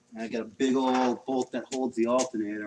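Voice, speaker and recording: Speaking very fast, a man has a New England accent. His intonation is monotone and flat. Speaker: car mechanic livestreamer. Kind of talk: casual chat while working on a car.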